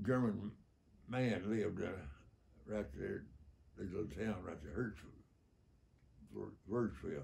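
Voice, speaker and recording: Pausing long and often at a very slow pace, a man with a fairly low pitch and a dark, mellow tone uses lively intonation and vocal fry. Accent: Southern US. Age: 80s+. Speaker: war veteran. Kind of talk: interview answer. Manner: humorous, candid.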